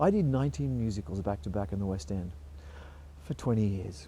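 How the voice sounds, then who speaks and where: A man's voice comes across somewhat breathy. His pitch swings very widely. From Australia (Melbourne). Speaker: musical theatre performer. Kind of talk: interview storytelling.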